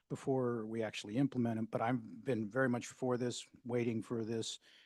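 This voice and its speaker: The sound of this man's medium-pitched voice is dry and close, with no echo. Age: 60s. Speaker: mayor chairing city council meeting. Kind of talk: council meeting discussion.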